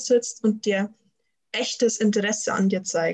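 Her fairly high, somewhat breathy voice stays monotone, with flat intonation, as the woman speaks. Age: 20s. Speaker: student and systemic coach. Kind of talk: interview.

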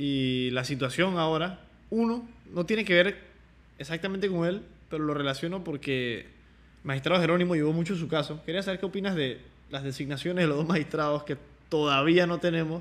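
Fairly high pitch from a man with an unremarkable speaking voice, ordinary pitch variation, and a fairly quick pace. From Panama. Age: 20s. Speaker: podcast host. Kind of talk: interview.

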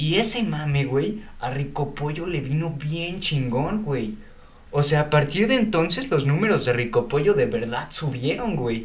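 Audible room echo surrounds a man who speaks fairly slowly at a fairly high pitch, with lively intonation. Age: young. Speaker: podcast co-host. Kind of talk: casual chat.

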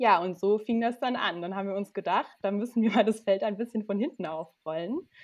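A woman's ordinary speaking voice at medium pitch, with ordinary pitch variation, at a fairly quick pace with hardly any pauses. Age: 30s. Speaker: trainee lawyer. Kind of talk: casual interview.

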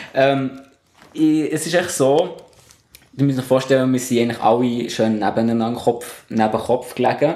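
Here is a man with an ordinary speaking voice at medium pitch. His intonation is fairly even and his pace moderate. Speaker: scout leader. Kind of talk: casual chat.

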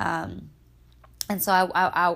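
A woman's fairly low-pitched voice with vocal fry. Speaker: podcast host. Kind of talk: casual solo podcast talk with faith reflection. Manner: casual, conversational.

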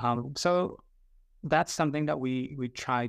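A man talks at a fairly slow pace with a Vietnamese accent. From southern Vietnam. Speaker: career coach and father. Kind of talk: podcast interview. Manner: hesitant, many fillers.

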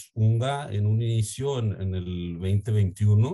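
A man with a Mexican accent speaks at a fairly low pitch in a somewhat breathy voice with a dark, mellow tone and ordinary pitch variation, over a quiet background. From Mexico. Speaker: startup CEO. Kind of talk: interview. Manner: halting, with frequent repetitions.

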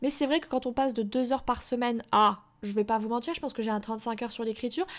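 Recorded very cleanly against a silent background, a woman speaks at a fairly high pitch with ordinary pitch variation. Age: 20s. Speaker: podcast host and self-published novelist. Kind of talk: solo podcast monologue. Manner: casual, many hesitations.

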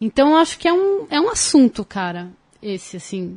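A woman talking at a fairly quick pace, the sound dry and close with no echo against a quiet background. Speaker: TV presenter. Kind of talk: casual chat.

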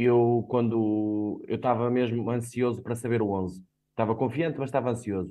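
Here a man with a plain, everyday voice talks at a moderate pace and medium pitch, his intonation fairly even. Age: 30s. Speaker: football fan pundit. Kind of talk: casual sports discussion.

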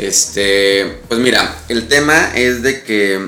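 Medium-pitched male speech carrying ordinary pitch variation, with room echo clearly audible. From Mexico City, with years in Pachuca, Hidalgo. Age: 30s. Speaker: public relations company CEO. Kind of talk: casual chat.

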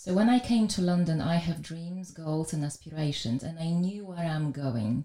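A woman with a Polish accent speaks with hardly any pauses in a dark, mellow, somewhat breathy tone, pitched fairly low, with lively intonation. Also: moderate pace. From Poland. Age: 40s. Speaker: wealth manager. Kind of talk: casual interview.

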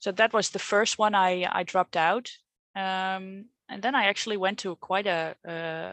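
In a Dutch accent, a woman speaks at a fairly slow pace and medium pitch with fairly even intonation, the sound dry and close with no echo. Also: quiet background. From Netherlands. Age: 30s. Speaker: coaching client. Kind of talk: coaching conversation. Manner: halting, hesitant.

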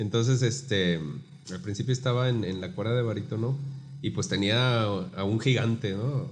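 Amid audible room echo, a somewhat breathy man speaks fairly slowly at a medium pitch with lively intonation. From Guadalajara, Mexico. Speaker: baritone singer and music teacher. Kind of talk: casual interview.

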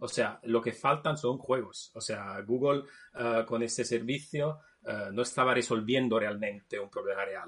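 With an Italian accent, a man speaks at a fairly slow pace. His pitch is medium. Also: ordinary pitch variation. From Naples, Italy. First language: Italian (speaking Spanish). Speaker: video game developer. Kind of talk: casual chat.

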